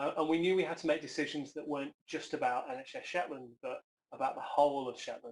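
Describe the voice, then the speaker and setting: With an English accent, a man speaks at a very fast pace, his fairly high pitch carried in a fairly even intonation. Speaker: health service chief executive. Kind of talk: conference talk. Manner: hesitant, with fillers.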